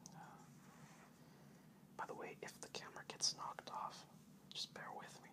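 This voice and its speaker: Noticeable background noise fills the clip. Under it, a man whispers. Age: young. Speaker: oil field pipe inspector. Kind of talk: casual rambling to camera, then poem reading. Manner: relaxed, hesitant, with many filler words.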